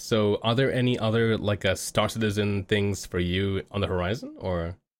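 His pitch sits fairly low, and his pace is moderate. The man has a plain, everyday voice. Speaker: podcast host. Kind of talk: casual interview. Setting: video call.

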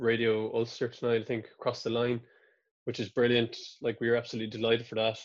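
Against a quiet background, a man with a medium-pitched voice speaks with a Kerry accent. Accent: Irish (Kerry). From Ireland, County Kerry. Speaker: musician. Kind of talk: casual interview.

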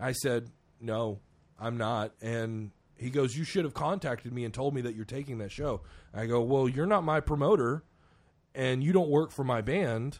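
In a plain, everyday voice, a man speaks at a moderate pace and medium pitch with ordinary pitch variation over a quiet background. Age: 30s. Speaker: podcast host and metal musician. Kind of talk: casual chat.

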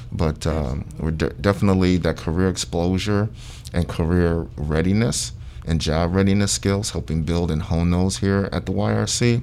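With an American accent, the speaker uses lively intonation at a moderate pace and very even loudness, over noticeable background noise. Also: man, very deep, low pitch for a man. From Ohio, Sandusky. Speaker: youth program manager. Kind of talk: radio interview. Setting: radio studio.

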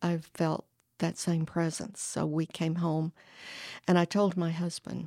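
A woman speaks very slowly in a flat monotone. Her fairly low voice has a dark, mellow tone. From northern Alabama. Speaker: church member sharing her faith story. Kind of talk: testimony.

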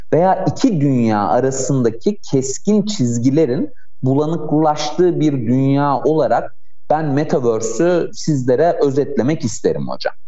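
Over noticeable background noise and audible room echo, a man talks at a fairly slow pace and fairly high pitch, his loudness very even. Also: ordinary pitch variation. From Turkey, Ankara. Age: 30s. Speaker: AI association board member and doctoral student. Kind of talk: radio interview.

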